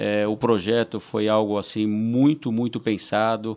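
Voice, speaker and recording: A man speaks at a fairly slow pace in a medium pitch, his tone dark and mellow against a quiet background. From Brazil, São Paulo. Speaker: school board president; podcast guest. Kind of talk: interview. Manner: halting, many fillers and repeated words. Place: studio. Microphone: studio mic.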